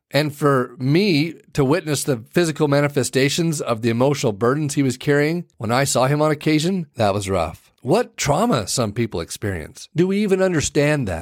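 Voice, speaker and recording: A normal speaking voice at a moderate pace, with lively intonation, hardly any pauses, and a very clean recording over a silent background. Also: man. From Arizona, small town. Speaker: podcast host. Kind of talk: storytelling monologue.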